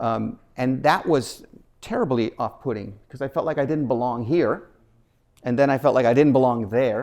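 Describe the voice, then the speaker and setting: A man speaks with a medium pitch at a moderate pace. His pitch variation is ordinary. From Nicaragua, raised in Washington DC and rural Illinois. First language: Spanish. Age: 60s. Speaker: nonprofit foundation president, keynote speaker. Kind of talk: keynote speech. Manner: talkative, with many fillers and restarts.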